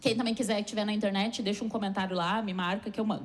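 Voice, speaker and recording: At a very fast pace, a woman with a fairly high, somewhat breathy voice speaks with fairly even intonation. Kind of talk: sermon.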